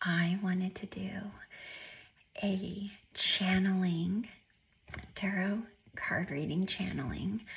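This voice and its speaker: A soft-spoken woman talks at a medium pitch in a somewhat breathy voice with fairly even intonation. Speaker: tarot reader. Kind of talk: tarot reading. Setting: home alone.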